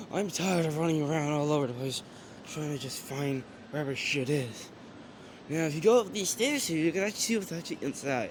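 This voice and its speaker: A man's fairly high voice at a very fast pace, with ordinary pitch variation and noticeable background noise. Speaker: vlogger touring a train museum. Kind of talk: casual walkthrough vlog.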